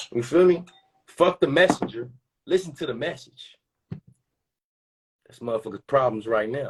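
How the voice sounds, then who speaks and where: A fairly high-pitched man talks at a moderate pace with lively intonation and big swings in loudness. He leaves long, frequent pauses. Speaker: community gathering host. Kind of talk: casual talk to live audience. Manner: animated.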